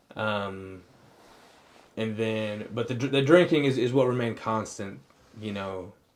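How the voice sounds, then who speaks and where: Audible room echo surrounds a man speaking at a fairly slow pace with long, frequent pauses. His pitch is medium, with ordinary pitch variation. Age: 20s. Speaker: podcast co-host sharing his addiction story. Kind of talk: casual chat, personal testimony. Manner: halting, many fillers and restarts.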